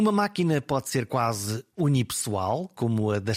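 An ordinary speaking voice from a man at medium pitch, with lively intonation. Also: very clean recording, silent background. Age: 50s. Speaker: podcast host, retired journalist. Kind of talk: scripted narration; interview.

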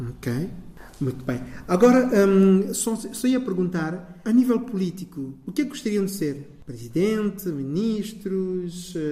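A man's high voice at a fairly slow pace with very wide pitch swings, plus audible room echo and noticeable background noise. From São Tomé and Príncipe. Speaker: community radio host. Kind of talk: interview.

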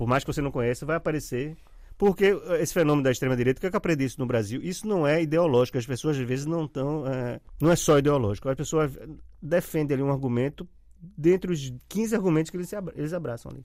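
With lively intonation and a fairly high pitch, a man speaks at a very fast pace. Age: 50s. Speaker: journalist and writer. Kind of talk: casual interview chat.

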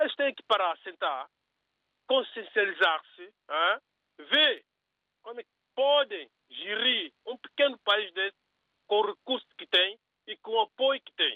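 Delivered at a fairly slow pace, the speech has lively intonation, big swings in loudness, and long, frequent pauses. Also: man, high pitch for a man. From São Tomé and Príncipe. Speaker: radio caller. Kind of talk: opinion on call-in radio. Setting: phone call.

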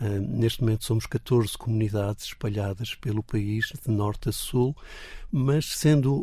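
A man's somewhat breathy voice has a dark, mellow tone and fairly even intonation. The recording is very clean with a silent background. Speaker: Anglican bishop. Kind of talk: radio interview.

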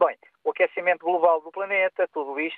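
A man at a moderate pace. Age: 60s. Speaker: radio caller. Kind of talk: phone-in opinion. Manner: halting.

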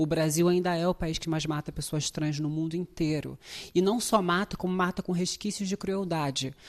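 At a moderate pace and a fairly low pitch, a woman talks in a normal speaking voice with fairly even intonation against a quiet background. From Brazil, favela. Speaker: actress. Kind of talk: interview.

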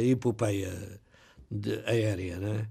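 Very slowly, a man speaks in a dark, mellow tone that is somewhat breathy. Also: very clean recording, silent background. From Ribatejo, Portugal. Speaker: retired pilot and author. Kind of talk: radio interview. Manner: halting, repeats words.

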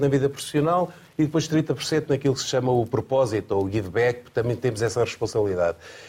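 This man's voice is somewhat breathy and very even in loudness, with ordinary pitch variation. He speaks at a fairly quick pace with hardly any pauses. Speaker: former Olympic athlete and association president. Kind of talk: panel discussion. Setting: studio.

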